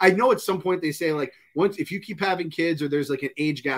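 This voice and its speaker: The background is quiet. A man talks at a very fast pace with lively intonation. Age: 40s. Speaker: pop culture podcast co-host. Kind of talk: casual chat. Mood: joking, opinionated. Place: home room.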